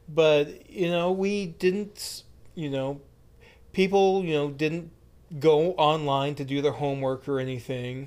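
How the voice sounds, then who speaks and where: A man with an American accent has an unremarkable speaking voice at a fairly high pitch. He talks at a fairly slow pace. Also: ordinary pitch variation. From United States. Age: 30s. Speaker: podcast co-host. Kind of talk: casual chat.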